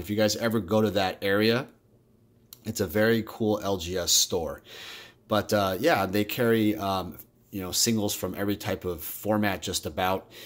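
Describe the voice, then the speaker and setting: Speaking at a moderate pace, a man with an unremarkable speaking voice sounds fairly low in pitch and shows ordinary pitch variation. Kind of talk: casual vlog chat. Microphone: phone near.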